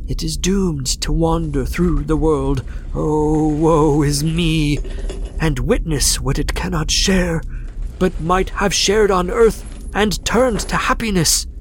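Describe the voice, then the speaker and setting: A man's put-on character voice, fairly high and fairly slow, over clear background noise. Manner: solemn, mournful, doom-laden.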